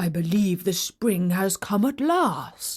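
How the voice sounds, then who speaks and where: A woman puts on a gruff character voice at medium pitch and a fairly slow pace. The recording is very clean with a silent background. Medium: read story. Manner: blunt, grumbling.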